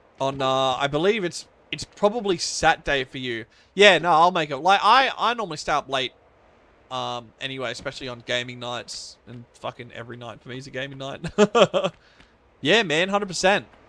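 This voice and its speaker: Speaking at a fairly quick pace with an Australian accent, the voice has a bright, sharp tone in a very clean recording with a silent background. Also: man, fairly high pitch for a man, lively intonation, big swings in loudness. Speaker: video game streamer. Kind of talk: casual chat. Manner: halting.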